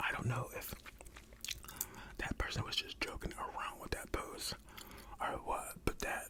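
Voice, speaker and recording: A man whispers over noticeable background noise. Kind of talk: ASMR reddit reading with reactions. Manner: whispered; soft-spoken.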